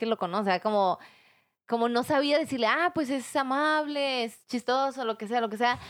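This woman's pitch is high, with ordinary variation, and she talks at a moderate pace. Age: 20s. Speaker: podcast guest. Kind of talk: casual chat.

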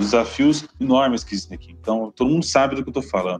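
A man races along at a very fast pace, his intonation lively, while music plays in the background. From Brazil, Paraná (Londrina). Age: 20s. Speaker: municipal government official. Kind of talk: interview.

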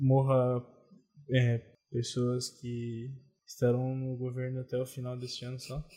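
A man speaks slowly in a flat, monotone voice, leaving long, frequent pauses. His tone is dark and mellow and somewhat breathy. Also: medium pitch for a man. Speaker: podcast co-host. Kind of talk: casual chat. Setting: home recording in bed.

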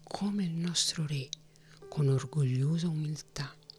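Very slow speech over music in the background. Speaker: audiobook narrator. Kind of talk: audiobook reading of a fantasy novel, narrated with character dialogue. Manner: formal, measured literary narration.

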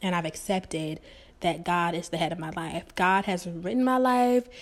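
A woman speaks in a normal speaking voice, fairly low in pitch. The recording is very clean, with a silent background. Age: 20s. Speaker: podcast host. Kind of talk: solo monologue.

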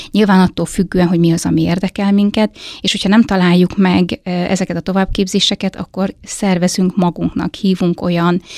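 Speaking at a fairly quick pace, a woman holds a medium pitch in a monotone, flat intonation. The recording is very clean with a silent background, and the sound is dry and close with no echo. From eastern Hungary, Hajdúdorog. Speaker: head of a family and child welfare centre. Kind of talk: interview.

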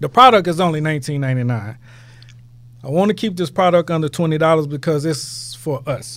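A man with an American accent and a plain, everyday voice, fairly high pitch, lively intonation and a fairly quick pace. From Houston, Texas. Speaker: entrepreneur, product founder. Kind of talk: podcast interview.

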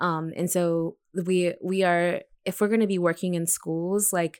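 A normal speaking voice at a fairly slow pace, fairly even in intonation, on a very clean recording with a silent background. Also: woman. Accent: American. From Texas, predominantly Mexican community. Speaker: teacher. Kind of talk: casual discussion.

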